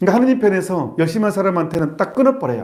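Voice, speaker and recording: Audible room echo surrounds a man who speaks at a fairly quick pace. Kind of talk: sermon. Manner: fast; animated.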